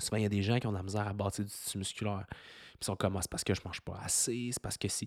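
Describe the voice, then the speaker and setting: Speaking very fast with a Quebec accent, a man with a fairly low pitch sounds dry and close with no echo, on a very clean recording with a silent background. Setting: kitchen at home, dog in background. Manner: less energetic than usual.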